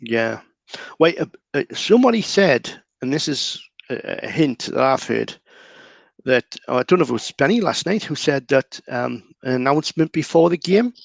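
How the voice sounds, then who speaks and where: With a Geordie accent and lively intonation, the speaker keeps a moderate pace with long, frequent pauses, in a dry, close sound with no echo. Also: man, fairly high pitch for a man. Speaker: local Newcastle guest. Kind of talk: casual chat.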